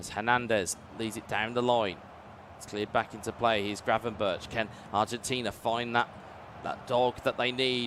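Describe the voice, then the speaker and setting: A man speaks at a medium pitch. He has a British accent. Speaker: esports commentator. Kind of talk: live commentary. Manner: animated.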